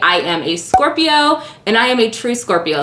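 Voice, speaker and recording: Over noticeable background noise, a woman with an American accent makes very wide pitch swings. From US, Illinois then Nevada/California. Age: 30s. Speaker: beauty YouTuber. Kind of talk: casual Q&A vlog. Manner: animated.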